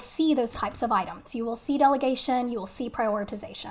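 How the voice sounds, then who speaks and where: A woman speaks with a Texan accent at a high pitch. Her pitch varies in an ordinary way. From Texas. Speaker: nurse educator. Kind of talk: live webinar lecture. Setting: live stream. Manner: casual, friendly.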